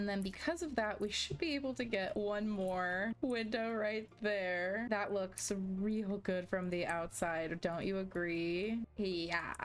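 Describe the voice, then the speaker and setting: A woman speaks at a very slow pace with a medium pitch, ordinary pitch variation and very even loudness. She hardly pauses at all, and music plays in the background. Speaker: gaming youtuber. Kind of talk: casual gameplay commentary. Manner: casual, chatty.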